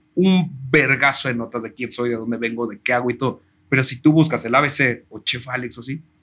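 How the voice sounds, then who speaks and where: A man with a Mexican accent speaks fairly quickly at medium pitch, his tone bright and sharp, with ordinary pitch variation and big swings in loudness. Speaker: chef and food content creator. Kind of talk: casual interview chat.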